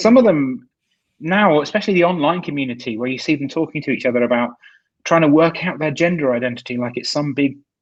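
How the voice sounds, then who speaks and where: Against a quiet background, a man races along very fast at a fairly high pitch with lively intonation. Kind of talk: casual chat.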